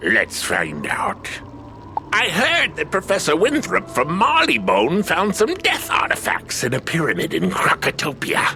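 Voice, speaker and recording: Over clear background music, a man does a put-on character voice at a fairly slow pace. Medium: machinima.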